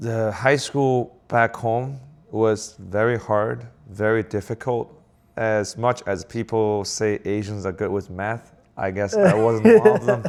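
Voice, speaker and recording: Someone speaks at a very slow pace in a Chinese accent, with fairly even intonation. The recording is very clean, with a silent background. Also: man, medium pitch for a man. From southern China. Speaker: business owner. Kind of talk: casual chat. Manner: halting.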